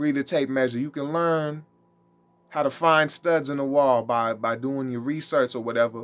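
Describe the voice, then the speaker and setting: Against a quiet background, the speech moves at a fairly quick pace with ordinary pitch variation. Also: man. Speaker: religious teacher. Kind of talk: monologue teaching. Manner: fast.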